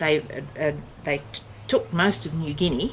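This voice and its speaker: Noticeable background noise sits behind the voice. The speech moves at a moderate pace. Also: woman. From Western Australia. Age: 60s. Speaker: family elder recounting history. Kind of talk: casual chat. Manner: halting.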